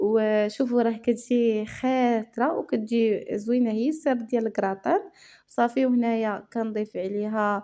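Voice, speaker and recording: On a very clean recording with a silent background, a woman with a Moroccan accent speaks fairly slowly with hardly any pauses, her fairly high voice dark and mellow in tone and her intonation fairly even. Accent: Moroccan Arabic (Darija). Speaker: cooking channel host. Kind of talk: cooking tutorial. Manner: casual, with many fillers.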